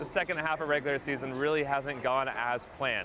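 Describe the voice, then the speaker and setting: Speaking in a normal speaking voice, a man with a fairly high pitch goes at a fairly quick pace with fairly even intonation. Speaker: sports broadcaster. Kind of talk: sports news anchor desk read.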